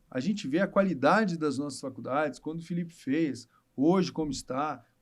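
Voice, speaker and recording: A man with a normal speaking voice and fairly high pitch speaks at a moderate pace with ordinary pitch variation, in a very clean recording with a silent background. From Rio de Janeiro state interior (Barra Mansa). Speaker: obstetrician. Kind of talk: casual chat.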